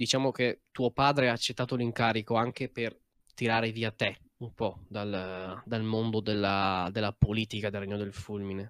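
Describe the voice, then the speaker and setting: A man with a plain, everyday voice speaks at a moderate pace and medium pitch, with fairly even intonation. The recording is very clean with a silent background, giving a dry, close sound with no echo. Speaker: game master. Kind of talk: tabletop role-play narration.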